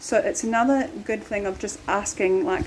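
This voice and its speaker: A woman speaks at a moderate pace with very wide pitch swings. Noticeable background noise is present. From New Zealand. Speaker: expat vlogger, dancer and drummer. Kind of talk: casual travel vlog talk. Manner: relaxed, many fillers (um, like).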